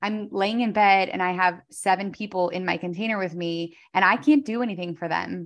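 A plain, everyday voice from a woman at medium pitch and a moderate pace, quiet background. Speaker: entrepreneur and podcaster. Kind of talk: casual interview chat.

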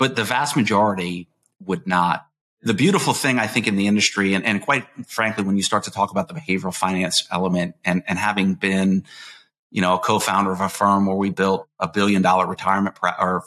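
Very fast and very deep, a man's voice has a bright, sharp tone and ordinary pitch variation. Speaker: podcast host, retirement plan advisor. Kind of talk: podcast interview.

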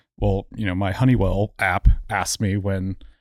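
A man with an American accent and a plain, everyday voice, fairly low-pitched with fairly even intonation, in a very clean recording with a silent background. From Houston, Texas and Memphis. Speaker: guest co-host. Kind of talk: casual chat.

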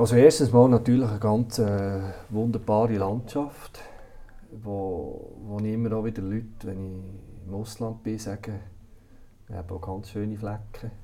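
In a room with audible echo, a man talks fairly slowly in a dark, mellow, fairly low voice, with fairly even intonation and big swings in loudness. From Switzerland, Solothurn (Bucheggberg roots). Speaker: director of a care institution. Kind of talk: interview. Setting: office. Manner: hesitant, many fillers.

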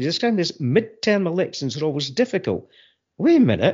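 Speaking with a Fife accent, a man moves through very wide pitch swings. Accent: Scottish, Fife. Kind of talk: casual chat.

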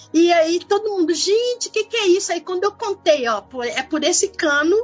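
Over noticeable background noise, a woman talks at a moderate pace, her pitch swinging very widely. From Belo Horizonte, Brazil. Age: 50s. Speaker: community activist and photographer. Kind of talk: interview.

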